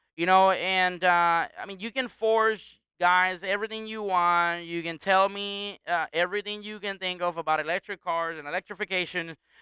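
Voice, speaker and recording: Speaking with a strong Puerto Rican accent, a man uses a high pitch and a raised, projected voice with a bright, sharp tone, big swings in loudness, and a dry, close sound with no echo. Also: moderate pace, hardly any pauses, quiet background. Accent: heavy Puerto Rican. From Puerto Rico. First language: Spanish. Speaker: performance car shop owner. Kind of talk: casual podcast chat. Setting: car shop.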